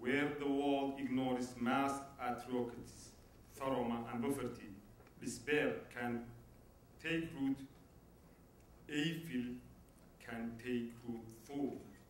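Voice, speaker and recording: A man speaks very slowly at a medium pitch in a monotone, flat delivery with long, frequent pauses. Noticeable background noise and audible room echo fill the recording. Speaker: human rights activist. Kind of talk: award acceptance speech. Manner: halting.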